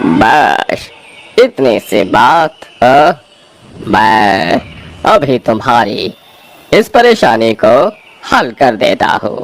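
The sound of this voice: A man does a cartoonish character voice at a medium pitch. He goes at a very slow pace, with long, frequent pauses.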